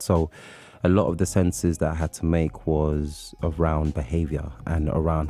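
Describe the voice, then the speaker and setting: In a London accent, a man speaks with a very deep, low pitch. His pace is moderate and his intonation fairly even. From London, England (born in Nigeria). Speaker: poet and writer. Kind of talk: radio interview. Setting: radio studio.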